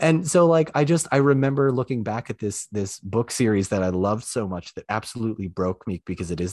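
Over a quiet background, a man with a fairly low pitch talks at a moderate pace, his pitch swinging very widely, in a dry, close sound with no echo. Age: 20s. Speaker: former journalist and online creator. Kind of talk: casual chat.

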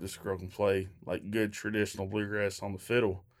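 This man has a fairly low pitch. The recording is very clean, with a silent background. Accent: Kentucky. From Kentucky, Shepherdsville near Louisville. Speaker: bluegrass band member. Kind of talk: interview.

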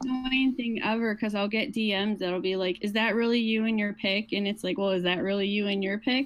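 A woman at a fairly quick pace, her intonation fairly even and her loudness very even, over noticeable background noise. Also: medium pitch for a woman. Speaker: panelist guest. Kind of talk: casual banter. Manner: halting, filler-heavy.

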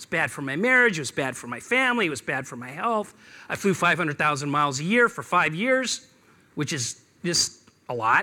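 A man's raised, projected voice with an American accent, bright and sharp in tone, with very wide pitch swings. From Seattle. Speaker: business speaker. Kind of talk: talk to an audience. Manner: hesitant with fillers.

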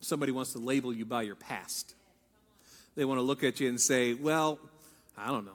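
Fairly quick, fairly even speech in an American accent, broken by long, frequent pauses. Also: man, medium pitch for a man. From Ohio. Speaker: pastor. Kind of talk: sermon.

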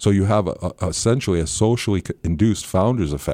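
A very fast man's voice with an American accent, dark and mellow in tone, lively in intonation, on a very clean recording with a silent background. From Northern California. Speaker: anthropology professor. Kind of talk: interview.

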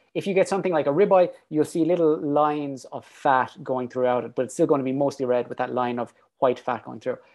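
An Irish-accented man talks very fast with hardly any pauses, his pitch fairly high and its variation ordinary. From Ireland. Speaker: PhD researcher and fitness coach. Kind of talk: casual chat.

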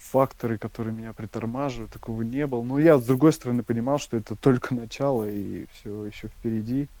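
Intonation remains fairly even throughout. The tone is dark and mellow. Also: man. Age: 30s. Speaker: ultramarathon runner. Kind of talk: interview. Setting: internet call. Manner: halting, with repetitions and fillers.

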